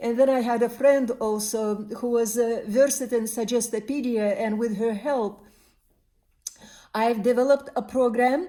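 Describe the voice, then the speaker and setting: A woman speaks at a moderate pace and a fairly high pitch, dark and mellow in tone. The recording is very clean, with a silent background. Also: fairly even intonation. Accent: Turkmen. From Turkmenistan. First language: Turkmen. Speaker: spiritual counselor and body worker. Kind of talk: personal monologue. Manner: hesitant, many fillers.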